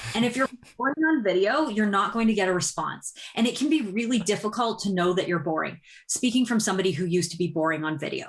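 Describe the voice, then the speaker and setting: A woman talks at a very fast pace in a medium-pitched, somewhat breathy voice. Her intonation is lively. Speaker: business community-building expert. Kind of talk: podcast interview.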